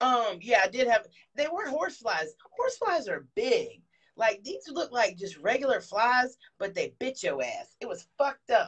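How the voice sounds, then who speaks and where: With an American accent, a woman talks in an animated tone at a high pitch. Her pace is fairly slow, and her pitch swings very widely. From US South, Columbia, South Carolina. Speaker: comedian. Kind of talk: casual interview chat; live stream chat. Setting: bathtub live stream.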